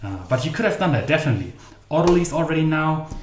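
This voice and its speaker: With a German accent and lively intonation, a man speaks amid noticeable background noise and audible room echo. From Germany. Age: 30s. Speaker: baking channel host. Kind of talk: live stream baking tutorial. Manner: casual, chatty.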